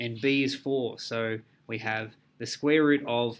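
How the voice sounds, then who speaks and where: A man speaks in an unremarkable speaking voice at medium pitch with fairly even intonation. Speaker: maths teacher. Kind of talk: tutorial.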